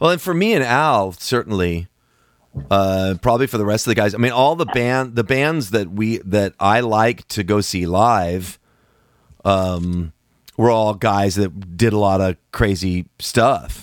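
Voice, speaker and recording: With a normal speaking voice, a man talks at a fairly low pitch and a fairly slow pace, his pitch varying in an ordinary way. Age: 60s. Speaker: musician and podcast host. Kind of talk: casual chat.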